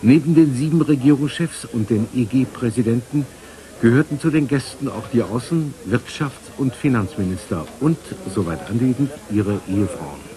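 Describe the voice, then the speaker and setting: Lively intonation marks a man speaking at a moderate pace over light background noise. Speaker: news reporter. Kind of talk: TV news report voice-over narration. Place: studio.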